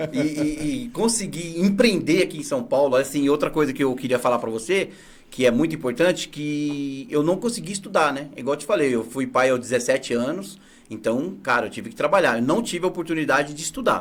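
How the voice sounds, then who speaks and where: A man with a normal speaking voice talks at a fairly quick pace. His pitch is fairly high and his intonation lively. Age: 40s. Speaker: entrepreneur, picture installer. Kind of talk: interview.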